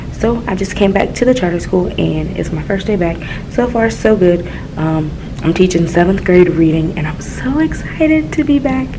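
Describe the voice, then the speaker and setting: Whispering at a moderate pace, a woman is heard with audible room echo and noticeable background noise. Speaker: middle school teacher and vlogger. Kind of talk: casual vlog. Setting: classroom.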